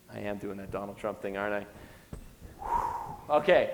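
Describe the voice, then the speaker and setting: Backed by noticeable background noise and audible room echo, a man speaks in an animated tone. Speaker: entrepreneur giving a guest lecture. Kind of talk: lecture. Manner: fast.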